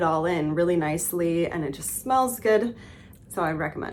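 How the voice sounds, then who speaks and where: At a moderate pace, a woman speaks in an unremarkable speaking voice at medium pitch with ordinary pitch variation. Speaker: vlogger and former fashion photographer. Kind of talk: casual vlog chat.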